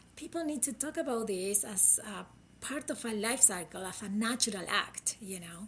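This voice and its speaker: In a Uruguayan accent, a woman with a fairly high pitch talks at a moderate pace with lively intonation. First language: Spanish. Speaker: critical care physician. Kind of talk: interview.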